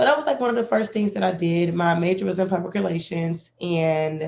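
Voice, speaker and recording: In a Southern US accent, a woman speaks with a fairly low pitch. Her tone is dark and mellow. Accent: Southern US, country. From Alabama. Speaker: record label A&R. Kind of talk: online panel discussion.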